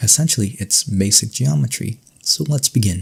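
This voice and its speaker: Soft-spoken and somewhat breathy, a man has a calm, dark, mellow tone, a fairly low pitch and lively intonation. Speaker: ASMR creator. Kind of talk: ASMR educational lesson, soft-spoken roleplay as a professor. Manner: soft-spoken, calm.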